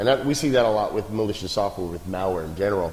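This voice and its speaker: The voice is a man's, pitched fairly low. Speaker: security company speaker at a meetup. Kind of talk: presentation talk. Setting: meetup with audience. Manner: fast; hesitant fillers.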